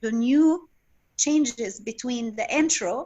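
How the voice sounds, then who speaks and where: A woman at a fairly slow pace, with lively intonation. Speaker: belly dance teacher. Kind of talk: interview.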